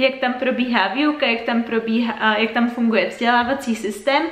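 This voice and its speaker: A woman speaks in a high pitch. Noticeable background noise runs behind her. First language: Czech. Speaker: English teacher. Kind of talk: video introduction to camera. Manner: upbeat, energetic.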